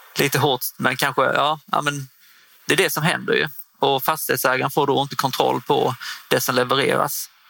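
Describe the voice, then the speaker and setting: A man is speaking. His loudness stays very even at a moderate pace. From northern Skåne, Sweden (Osby). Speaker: property management consultant, former footballer. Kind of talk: interview. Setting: studio booth at a trade fair. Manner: halting, many fillers.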